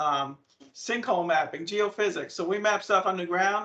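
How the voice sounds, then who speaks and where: A man speaks with a strong New England accent and fairly even intonation. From New England (Maine). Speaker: land surveyor, company presenter. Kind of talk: presentation to students. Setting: video call. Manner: fast.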